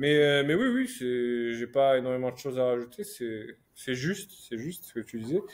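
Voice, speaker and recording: A man with an unremarkable speaking voice talks at a moderate pace and medium pitch, his loudness swinging widely. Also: ordinary pitch variation. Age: 20s. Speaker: podcast co-host. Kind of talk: casual chat.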